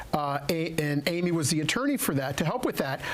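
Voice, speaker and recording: Noticeable background noise fills the clip. Over it, the words come at a very fast pace. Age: 60s. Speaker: elder care adviser. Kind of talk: radio talk show interview.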